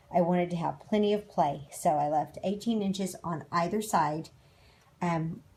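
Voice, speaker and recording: A woman speaks at a fairly low pitch with a somewhat breathy sound. She keeps a moderate pace and ordinary pitch variation. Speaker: DIY camper renovator. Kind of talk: tutorial.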